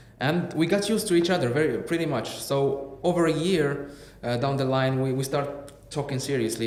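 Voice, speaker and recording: A man with a fairly high pitch speaks with ordinary pitch variation. Audible room echo and noticeable background noise fill the recording. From Morocco, Casablanca. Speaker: podcast guest. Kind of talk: casual interview chat. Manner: halting.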